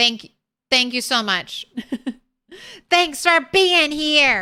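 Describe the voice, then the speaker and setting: A raised, projected voice with a bright, sharp tone, lively intonation and a very slow pace. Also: woman, high pitch for a woman. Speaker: video game streamer. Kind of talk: casual live stream outro. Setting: home, live stream with cats nearby. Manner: theatrical, like a circus ringleader; animated.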